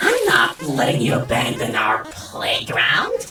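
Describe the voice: A woman performs a put-on character voice at an extremely low pitch with very wide pitch swings, a bright, sharp tone and a slow pace, amid strong room echo.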